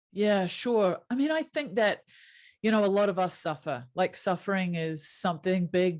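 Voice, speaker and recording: With a New Zealand accent and lively intonation, a woman of medium pitch speaks at a moderate pace in a very clean recording with a silent background. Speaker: happiness coach. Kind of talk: interview.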